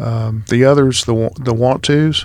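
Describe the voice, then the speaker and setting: Here a man speaks with an American accent. His pitch sits in the medium range. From Texas, Houston. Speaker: business broker. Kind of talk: interview.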